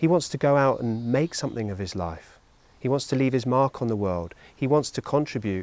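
A man with an unremarkable speaking voice talks at a fairly quick pace and medium pitch with ordinary pitch variation, in a very clean recording with a silent background. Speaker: mentoring organisation leader.

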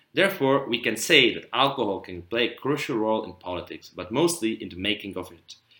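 A man with a Czech accent talks at a fairly quick pace, with hardly any pauses and a medium pitch. His bright, sharp tone has very wide pitch swings and big swings in loudness. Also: very clean recording, silent background. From Czech Republic. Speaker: student podcast co-host. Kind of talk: prepared discussion, partly read.

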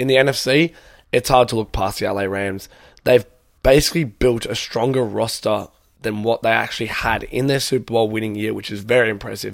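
In an Australian accent, a man talks at a fairly quick pace. His medium-pitched voice keeps a fairly even intonation. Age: young. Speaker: student podcaster. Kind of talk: casual solo podcast Q&A.

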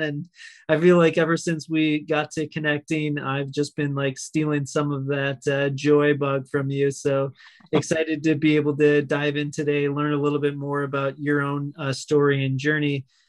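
Keeping a monotone, flat intonation, a man speaks at a moderate pace with a fairly high pitch. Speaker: podcast host. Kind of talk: interview.

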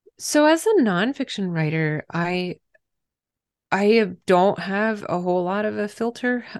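Against a quiet background, a woman speaks with an American accent at a medium pitch. Her intonation is lively and her pace fairly slow. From Pennsylvania, US. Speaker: author. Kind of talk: casual interview chat.

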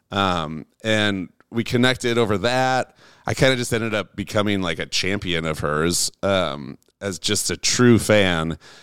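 On a very clean recording with a silent background and a dry, close sound with no echo, a man speaks fairly slowly in a plain, everyday voice, fairly low in pitch with ordinary pitch variation. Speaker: music producer. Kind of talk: casual chat. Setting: in-person at host's home studio.

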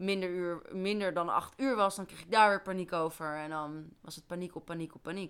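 A woman with a bright, sharp tone speaks at a moderate pace with fairly even intonation. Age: 20s. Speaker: forensic remedial educationalist. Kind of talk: casual chat.

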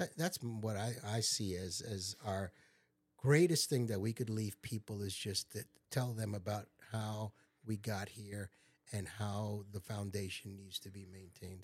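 On a very clean recording with a silent background, a man with an American accent speaks at a fairly slow pace, somewhat breathy, with a fairly low pitch and ordinary pitch variation. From Long Island, New York. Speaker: retired engineer and pastor. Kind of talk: casual family interview.

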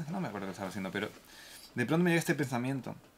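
A man speaks at a medium pitch. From Spain, Granada. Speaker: violinist. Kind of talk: casual chat.

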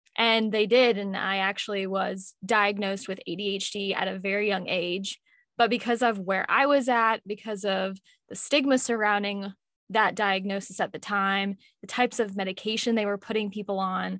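Here a woman has an ordinary speaking voice and fairly even intonation. She goes at a moderate pace against a quiet background. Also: medium pitch for a woman. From Louisville, Kentucky, US. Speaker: mental health podcaster. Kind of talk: casual interview.

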